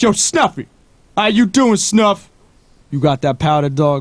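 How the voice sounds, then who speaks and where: A gravelly, put-on character voice moves at a moderate pace. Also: man, high pitch for a man. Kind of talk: street slang. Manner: gritty, street slang.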